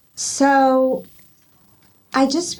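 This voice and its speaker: This is a woman speaking. Her pitch is high. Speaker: spiritual mentor, author, ordained minister. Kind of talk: interview answer.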